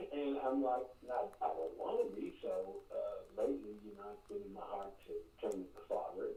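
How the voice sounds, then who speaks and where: A man speaks at a moderate pace with hardly any pauses. His loudness swings widely. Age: 60s. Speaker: caller. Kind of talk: call-in radio conversation. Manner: halting, repetitive.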